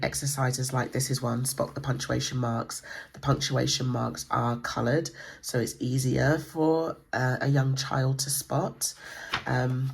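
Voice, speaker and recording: The speaker has an English accent and a fairly slow pace. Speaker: homeschool book reviewer. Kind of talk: book flip-through tutorial. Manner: hesitant, many fillers.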